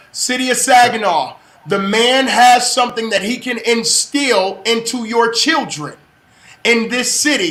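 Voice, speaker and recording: Animated and raised in a projected voice, a man with an extremely high pitch and ordinary pitch variation speaks over noticeable background noise and audible room echo. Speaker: livestream show host. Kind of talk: live-streamed interview. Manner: loud.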